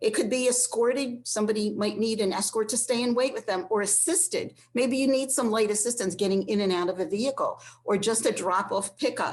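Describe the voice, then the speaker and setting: A normal speaking voice moves along at a fairly quick pace. Its pitch varies in an ordinary way. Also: woman. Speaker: transportation program staff presenter. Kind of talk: online presentation. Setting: online session.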